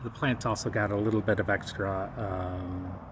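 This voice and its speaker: Fairly slow, fairly even-toned speech from a man. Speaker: cannabis home gardener. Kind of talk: casual video narration. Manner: halting, speech difficulty; many filler pauses.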